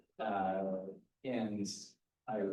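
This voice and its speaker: A man speaks with fairly low pitch and a dark, mellow tone. There is audible room echo. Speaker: instructor in the audience. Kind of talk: audience discussion.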